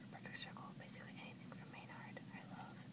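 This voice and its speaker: A woman's soft-spoken whispering, dry with no echo, over loud background noise. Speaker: vlogger. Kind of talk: casual vlog chat, Q&A tag. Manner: soft close-mic whisper. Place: home room. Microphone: webcam.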